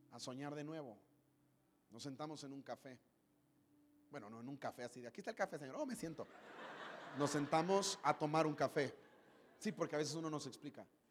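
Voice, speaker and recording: A man with a fairly high pitch talks in an animated tone at a fairly quick pace, with ordinary pitch variation. His loudness swings widely, and he leaves long, frequent pauses. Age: 30s. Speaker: pastor. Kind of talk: sermon. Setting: church stage with audience.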